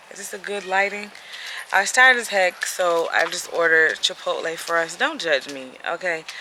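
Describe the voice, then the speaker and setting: At a moderate pace, a woman speaks in a fairly low pitch over noticeable background noise. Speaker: vlogger and cancer patient. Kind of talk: casual vlog. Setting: doctor's office.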